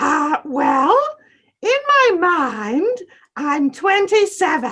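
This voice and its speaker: A woman speaks in a put-on character voice with an extremely high pitch. Her pace is very slow. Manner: excited, bubbly.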